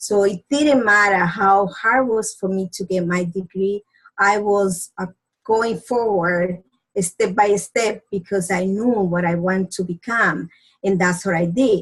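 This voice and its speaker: Somewhat breathy and with a Spanish accent, the voice shows ordinary pitch variation in a dry, close sound with no echo. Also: woman, medium pitch for a woman. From Dominican Republic. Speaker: doctor. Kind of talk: presentation. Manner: halting.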